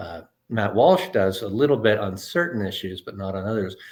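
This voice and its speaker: An unremarkable speaking voice at a fairly quick pace, on a very clean recording with a silent background. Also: man. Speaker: interviewer. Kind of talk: casual interview talk.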